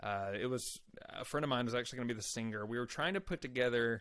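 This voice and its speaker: On a very clean recording with a silent background, a man speaks at a very fast pace. He has a Texan accent, medium pitch and ordinary pitch variation. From Texas Panhandle, Amarillo. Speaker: country-rock musician. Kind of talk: interview.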